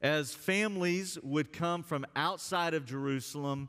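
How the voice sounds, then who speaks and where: A man with an American accent speaks at a fairly slow pace in an ordinary speaking voice, his pitch fairly high for a man with ordinary variation. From US South, Alabama. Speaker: pastor. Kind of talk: sermon. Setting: church.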